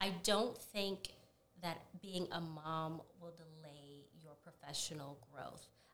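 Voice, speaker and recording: A woman with an American accent and a fairly low pitch speaks very slowly, her loudness swinging widely, with audible room echo. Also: ordinary pitch variation. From Florida, Duval County. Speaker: corporate professional and mother. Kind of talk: casual interview.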